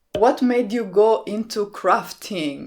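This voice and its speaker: Recorded very cleanly against a silent background, the speaker has an Italian accent and a fairly slow pace. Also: woman. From Italy, small town near Rome. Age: 30s. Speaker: card-making YouTuber. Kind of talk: Q&A vlog.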